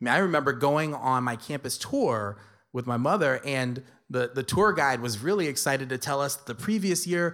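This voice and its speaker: A man in an American accent uses an unremarkable speaking voice, fairly high in pitch, with lively intonation at a moderate pace on a very clean recording with a silent background. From New York City (Spanish Harlem, South Bronx). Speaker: lecturer and storyteller. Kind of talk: storytelling performance.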